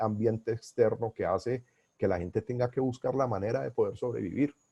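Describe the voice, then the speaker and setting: Against a quiet background, a man with a medium pitch and a dark, mellow tone speaks at a moderate pace, the sound dry and close with no echo. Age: 60s. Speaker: business coach and consultant. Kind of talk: webinar lecture. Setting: online webinar.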